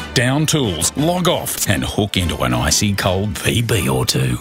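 Over clear background music, a man with an Australian accent speaks at a fairly slow pace and fairly low pitch with very wide pitch swings, the sound dry with no echo. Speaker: voice actor. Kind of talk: radio commercial read. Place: studio.

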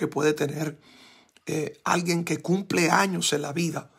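Fairly even intonation and a fairly slow pace come through against a quiet background. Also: man. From Puerto Rico. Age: 40s. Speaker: pastor. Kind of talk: sermon. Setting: church. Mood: grateful, fervent, emotional. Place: home room. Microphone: phone near.

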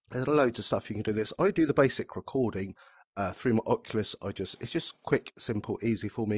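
A man talks at a fast pace with lively intonation and a fairly low pitch. His voice has a slightly husky edge, heard in a dry, close sound with no echo.

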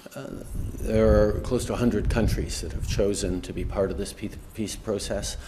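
At a moderate pace, a man mumbles over noticeable background noise. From Canada. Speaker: politician. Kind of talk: press conference answer. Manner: mumbling, stumbling, hesitant. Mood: measured, hesitant. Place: hall. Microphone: podium.

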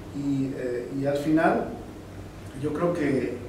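A man's voice carries audible room echo amid loud background noise. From Mexico City, Mexico. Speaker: corporate quality executive. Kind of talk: interview answer. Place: meeting room.

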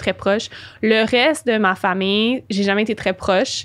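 A woman with a Quebec accent speaks at a fairly high pitch against a quiet background. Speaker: spiritual and business coach; podcast guest. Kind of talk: interview. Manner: animated. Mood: calm, reflective. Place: studio. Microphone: studio mic.

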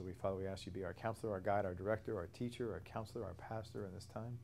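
Over light background noise, a man with a dark, mellow tone rushes along at a very fast pace in a monotone, flat intonation. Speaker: bible study teacher. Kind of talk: prayer then lecture. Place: church. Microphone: lapel.

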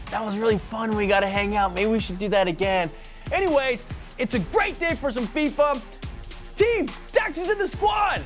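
Over faint music in the background, a man speaks at a moderate pace with long, frequent pauses. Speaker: show host. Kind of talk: casual comedic presenter chat. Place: studio. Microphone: lapel.

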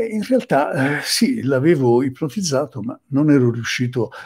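A man does the talking. Around him, things are quiet. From Sicily. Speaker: psychotherapist; presenter. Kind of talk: lecture. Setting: live stream. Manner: halting. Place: home room. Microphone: webcam.

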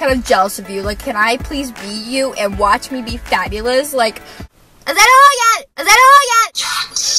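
Raised, projected female voice at a moderate pace, dry with no echo, faint music behind. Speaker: vlogger. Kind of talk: casual vlog chat. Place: car. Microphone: camera far.

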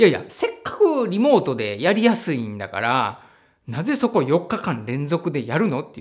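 Against a quiet background, a man speaks at a moderate pace in a high pitch, with very wide pitch swings and big swings in loudness. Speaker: trauma therapist and online educator; psychotherapist educator. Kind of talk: solo educational talk. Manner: many fillers and hesitations. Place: home room.

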